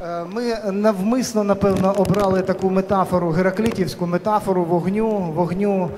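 A man speaks in a high voice over light background noise. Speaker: panel moderator. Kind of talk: moderator introduction to a panel discussion. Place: hall. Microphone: handheld.

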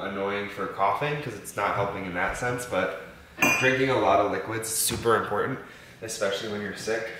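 A man at a fairly quick pace, with audible room echo and loud background noise. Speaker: vlogger. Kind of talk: casual vlog chat. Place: kitchen. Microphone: camera far.

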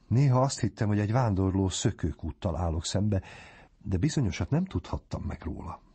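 Speaking at a moderate pace, a man with a fairly low pitch and lively intonation sounds somewhat breathy. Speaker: audiobook narrator. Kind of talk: reading aloud.

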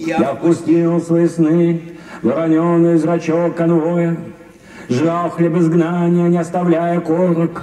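A man speaks at a very slow pace in a high pitch, his intonation monotone and flat and his loudness very even, with audible room echo around him. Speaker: stage actor. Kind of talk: poetry reading. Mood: intense, contemplative. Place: stage. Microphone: headset.

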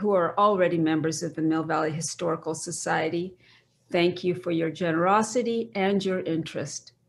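Delivered at a moderate pace, it is a plain, everyday voice with fairly even intonation. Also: woman. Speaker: event host. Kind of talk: event introduction. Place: kitchen. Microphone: webcam.

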